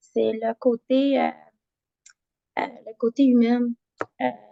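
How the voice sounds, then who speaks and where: The woman's voice is high-pitched with a dark, mellow tone. She talks at a fairly slow pace. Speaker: HR consultant. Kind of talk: group introduction in a discussion meeting. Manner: halting, many fillers.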